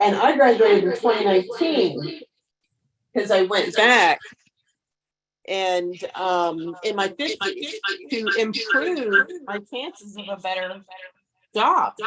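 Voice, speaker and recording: A woman with a fairly high voice speaks very slowly, her intonation lively, her loudness swinging widely, and her words broken by long, frequent pauses. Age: 60s. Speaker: borrower. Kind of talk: testimony. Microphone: echo.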